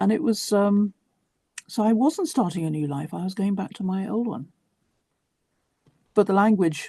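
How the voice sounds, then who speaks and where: Somewhat breathy and dark, mellow in tone, a woman's medium-pitched voice moves with lively intonation. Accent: southern English. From southern England, West Sussex. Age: 60s. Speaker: writer. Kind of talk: interview.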